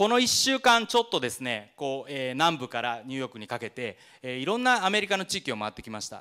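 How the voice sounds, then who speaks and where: Against a quiet background, the voice races at a very fast pace with hardly any pauses, very wide pitch swings and big swings in loudness. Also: man. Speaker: food magazine founder; presenter. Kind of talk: presentation. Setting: stage with audience. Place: hall. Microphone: handheld.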